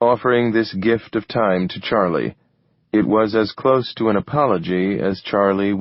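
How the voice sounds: This is a natural reading voice heard over a quiet background.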